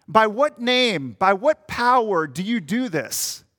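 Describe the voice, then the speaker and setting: A man's raised, projected voice with an American accent, high pitch, very wide pitch swings and a bright, sharp tone, dry and close with no echo in a very clean recording with a silent background. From Minnesota. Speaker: pastor. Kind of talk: sermon.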